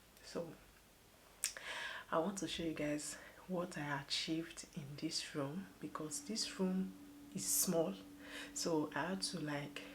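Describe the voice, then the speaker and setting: A soft-spoken woman with a very deep, low pitch, lively intonation and a fairly slow pace. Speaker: parenting vlogger. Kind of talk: casual home vlog. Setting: at home, nursery room. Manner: soft-spoken, lowered voice.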